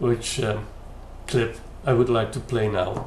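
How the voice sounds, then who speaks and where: A man speaks with a Dutch accent at a fairly slow pace. Audible room echo is present. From Netherlands. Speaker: YouTube commentator. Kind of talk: critical commentary. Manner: hesitant, many fillers.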